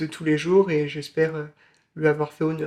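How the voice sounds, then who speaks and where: A man's fairly high-pitched voice in a flat, monotone intonation. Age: 20s. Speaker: film student and author. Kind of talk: interview. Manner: halting, many filler sounds.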